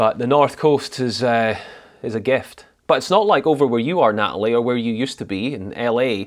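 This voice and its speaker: Here is a man with a Scottish accent. His voice is medium in pitch, with ordinary pitch variation. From Scotland (Highlands). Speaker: drama practitioner. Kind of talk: casual chat.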